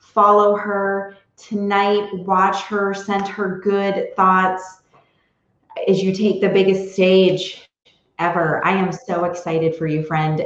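At a very slow pace, a woman talks with a fairly low pitch and fairly even intonation. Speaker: podcast host and interviewer. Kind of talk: interview, conversational.

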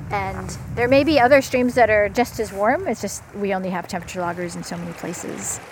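A woman talks at a fairly quick pace, her loudness swinging widely. Noticeable background noise is present. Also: medium pitch for a woman, lively intonation. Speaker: stream temperature researcher. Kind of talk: field interview. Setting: outdoors by a river.

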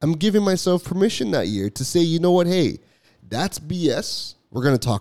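A high-pitched, animated man with lively intonation at a moderate pace. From Canada, Toronto. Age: 30s. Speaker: podcast host, entrepreneur. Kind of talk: solo podcast monologue.

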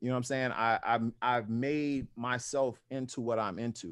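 A man with an American accent has a normal speaking voice at medium pitch and fairly even intonation. The background is quiet. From US South, New Orleans. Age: 40s. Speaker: powerlifter and apparel brand owner. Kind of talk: casual chat.

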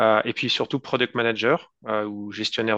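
A man speaks in a fairly low pitch with a bright, sharp tone and flat, monotone intonation. The sound is dry and close with no echo, and the background is quiet. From France. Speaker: tech entrepreneur. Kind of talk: interview. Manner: halting.

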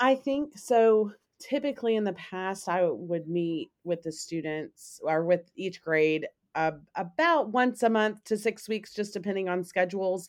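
In an American accent, a woman with a plain, everyday voice talks at a medium pitch with lively intonation. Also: fairly slow pace. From US South, Memphis, Tennessee. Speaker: school counselor. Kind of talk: casual chat.

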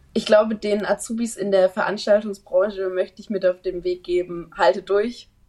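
A woman speaks at a moderate pace and medium pitch, with hardly any pauses and monotone, flat intonation. Her tone is dark and mellow, with big swings in loudness. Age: 20s. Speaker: trainee event manager. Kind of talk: interview.

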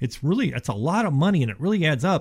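Somewhat breathy and with an American accent, a man speaks at a very fast pace with lively intonation in a very clean recording with a silent background. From Ohio, then Houston from age twelve. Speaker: insulation contractor. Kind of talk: radio talk show interview. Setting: radio studio.

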